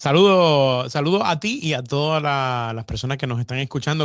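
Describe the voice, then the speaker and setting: A man's fairly high voice with lively intonation over a quiet background. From Puerto Rico (Fajardo). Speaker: radio programming director. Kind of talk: interview. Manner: halting, many repetitions.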